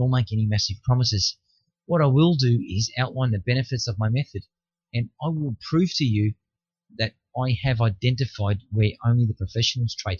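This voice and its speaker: A man with an Australian accent talks at a fairly quick pace and medium pitch. His voice is somewhat breathy, with ordinary pitch variation. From Australia, Melbourne. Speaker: futures trader selling a course. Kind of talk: sales pitch. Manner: direct, conversational.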